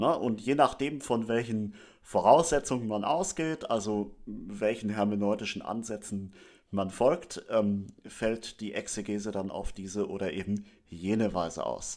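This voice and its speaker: A man with an unremarkable speaking voice talks at a fairly slow pace in a fairly low pitch. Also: ordinary pitch variation, very clean recording, silent background. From northern Germany, Schleswig-Holstein. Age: 30s. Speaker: theology student and lay church leader. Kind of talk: religious teaching talk.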